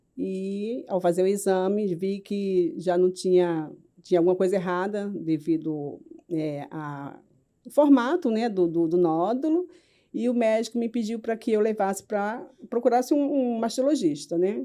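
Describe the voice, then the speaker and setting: Against a quiet background, a woman with a dark, mellow tone speaks at a medium pitch and a fairly slow pace, with lively intonation. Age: 50s. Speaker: cancer survivor, patient. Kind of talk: interview testimony.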